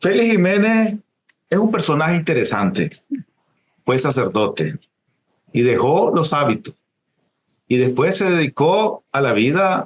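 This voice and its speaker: Speaking at a fairly slow pace with long, frequent pauses, a man uses a fairly high pitch with very wide pitch swings, vocal fry, and very even loudness. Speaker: writer, interviewer. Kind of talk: interview questions.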